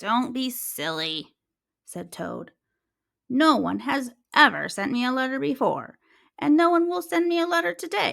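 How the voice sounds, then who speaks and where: Recorded very cleanly against a silent background, this put-on character voice moves at a moderate pace with long, frequent pauses. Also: woman, high pitch for a woman. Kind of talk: children's story read-aloud. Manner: glum, grumpy.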